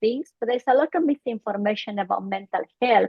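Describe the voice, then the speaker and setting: Fairly high pitch from a woman, with ordinary pitch variation. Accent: Bolivian. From Bolivia. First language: Spanish. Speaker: psychologist. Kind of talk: interview.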